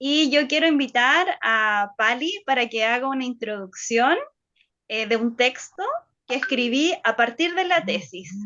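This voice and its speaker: A woman's high voice at a very slow pace, with very wide pitch swings. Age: 30s. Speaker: lecturer. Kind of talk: lecture. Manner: halting.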